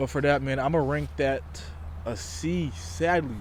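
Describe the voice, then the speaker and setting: This man speaks at a fairly slow pace. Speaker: YouTuber reviewing movies. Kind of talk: casual vlog commentary. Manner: casual, halting with fillers.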